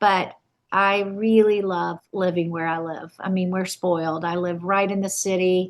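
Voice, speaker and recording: A woman speaks in a Southern US accent at medium pitch. Her delivery is fairly slow, with a monotone, flat intonation. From South Carolina, Camden. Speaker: wedding and event planner. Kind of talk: podcast interview.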